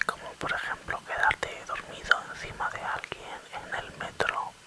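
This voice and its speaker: A man whispers at a very slow pace. Noticeable background noise sits behind him. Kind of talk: ASMR whisper talk about jazz. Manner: whispered, soft-spoken.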